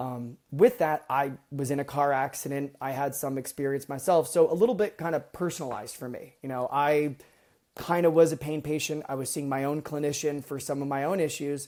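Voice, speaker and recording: A man with an American accent, fairly high in pitch with fairly even intonation, on a very clean recording with a silent background. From US East Coast. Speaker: medical device product manager. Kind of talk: podcast interview. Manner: fast.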